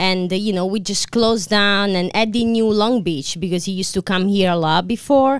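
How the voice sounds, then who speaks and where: Here a woman with an Italian accent talks at a moderate pace and medium pitch, with ordinary pitch variation. The recording is very clean, with a silent background. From Italy. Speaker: restaurant co-owner. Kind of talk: casual chat. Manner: halting.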